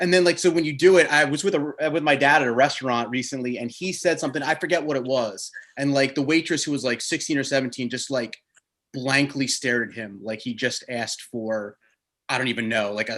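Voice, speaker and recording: A man's plain, everyday voice with an American accent, medium pitch, ordinary pitch variation and a fairly quick pace against a quiet background. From New Jersey. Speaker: podcast host. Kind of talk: interview.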